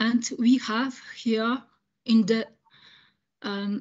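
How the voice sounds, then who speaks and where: A woman speaks with a French accent. Her voice is fairly high and somewhat breathy. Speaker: audience member asking question. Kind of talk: Q&A question after lecture. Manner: halting, many hesitations.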